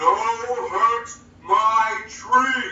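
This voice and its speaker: A put-on character voice, gruff and fairly high in pitch, comes through with slight echo. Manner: brutish, gruff.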